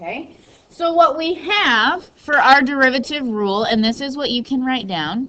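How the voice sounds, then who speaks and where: With noticeable background noise behind her, a woman speaks in a raised, projected voice at a high pitch. Her pace is fairly slow, and her pitch swings very widely. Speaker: high school math teacher. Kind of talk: classroom lecture. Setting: classroom.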